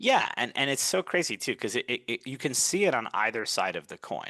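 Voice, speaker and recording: Against a quiet background, a man with a Brooklyn accent speaks in a bright, sharp tone, the sound dry and close with no echo. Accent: New York (Brooklyn). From US Northeast, Brooklyn, New York. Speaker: communication coach. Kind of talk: podcast interview.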